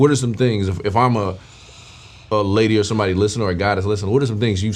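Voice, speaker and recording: Talking at a very fast pace, a man with a fairly low pitch keeps his intonation fairly even while audible room echo surrounds his voice. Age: 30s. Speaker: podcast host. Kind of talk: casual interview.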